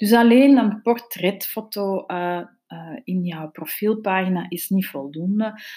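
On a very clean recording with a silent background, a woman with a Flemish accent speaks very slowly in a dark, mellow tone with ordinary pitch variation. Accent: Flemish Dutch. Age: 40s. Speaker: podcast host, social media consultant. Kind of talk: solo podcast talk on business tips.

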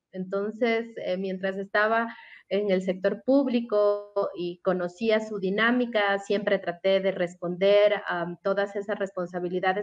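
A woman at a medium pitch, speaking at a fairly slow pace. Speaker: communications professional. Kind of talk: radio interview.

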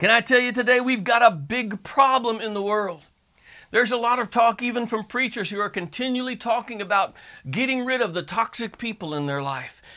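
A man speaks in a raised, projected voice of extremely high pitch, bright and sharp in tone. His pace is fairly quick and his pitch varies in an ordinary way. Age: 50s. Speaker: pastor. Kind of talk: sermon. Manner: animated.

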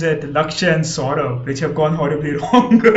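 A man with an Indian accent speaks with ordinary pitch variation over noticeable background noise. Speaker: podcast host. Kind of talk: casual chat. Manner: animated.

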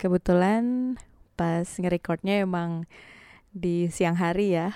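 In a very clean recording with a silent background, a woman speaks at a very slow pace in a dark, mellow tone. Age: 20s. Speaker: podcast host and university lecturer. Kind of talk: casual monologue.

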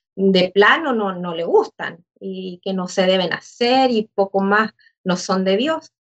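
This woman talks very slowly, her pitch at a medium level. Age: 40s. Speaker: church member. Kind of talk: casual chat.

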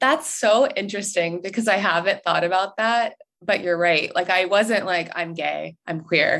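With an ordinary speaking voice, a woman talks at a moderate pace and medium pitch, her pitch varying in an ordinary way. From US South, North Carolina. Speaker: social media director, podcast guest. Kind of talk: personal story interview.

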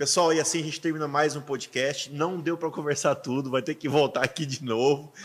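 A man talking at a fairly quick pace with hardly any pauses. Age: 30s. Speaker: podcast host and pastor. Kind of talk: casual chat. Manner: animated.

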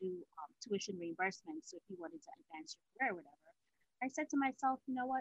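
A woman's voice moves in very wide pitch swings. The sound is dry and close, with no echo. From Guyana (also lived in Venezuela). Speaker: fashion stylist and business founder. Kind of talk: casual interview.

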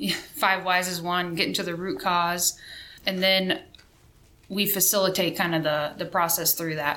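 At a moderate pace, a woman speaks in an ordinary speaking voice with medium pitch and fairly even intonation. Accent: American. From Missouri. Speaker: Air Force sergeant. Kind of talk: interview.

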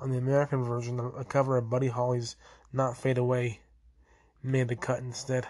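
Somewhat breathy, a man talks at medium pitch and a fairly quick pace with monotone, flat intonation. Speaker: podcast host. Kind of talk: solo history podcast narration. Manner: halting, many fillers.

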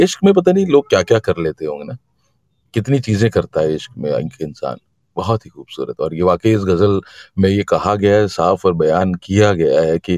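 The recording is very clean with a silent background and a dry, close sound with no echo. A man speaks fairly low at a moderate pace with ordinary pitch variation. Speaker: poetry gathering host. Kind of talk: casual chat. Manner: animated. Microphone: voice cutting out.

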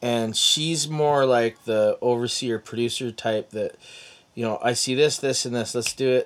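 A man with a Canadian accent at medium pitch, a moderate pace and fairly even intonation. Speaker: podcast host, former pastor. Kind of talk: casual interview chat.

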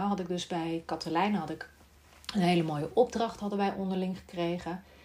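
A woman's somewhat breathy voice. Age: 40s. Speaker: speech therapist and podcast host. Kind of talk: solo monologue podcast.

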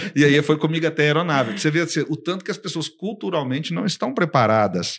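Man's fairly high voice with vocal fry, on a very clean recording with a silent background. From Brazil. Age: 50s. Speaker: business consultant and company founder. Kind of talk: casual interview. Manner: animated.

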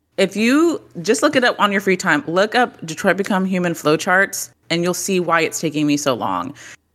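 A woman with a plain, everyday voice, in an American accent, with medium pitch, lively intonation and a moderate pace, on a very clean recording with a silent background. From Texas. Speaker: gaming content creator. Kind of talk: casual chat.

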